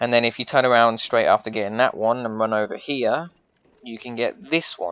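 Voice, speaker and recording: An unremarkable speaking voice runs at a fairly quick pace with fairly even intonation. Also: man. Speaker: gaming youtuber. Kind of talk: tutorial. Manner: casual, rambling with fillers.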